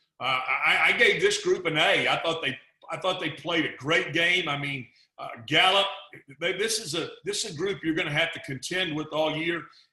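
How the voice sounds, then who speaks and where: A man with a Texas accent talks in a high voice with ordinary pitch variation. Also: moderate pace. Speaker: football analyst. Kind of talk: casual chat. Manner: halting, repeats words.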